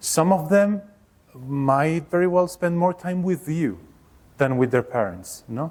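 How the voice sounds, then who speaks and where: A man with a Mexican accent talks at a fairly slow pace in a fairly high pitch. His intonation is lively. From Mexico. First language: Spanish. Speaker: workshop leader, education researcher. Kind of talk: workshop presentation. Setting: workshop room with live audience. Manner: hesitant, with fillers.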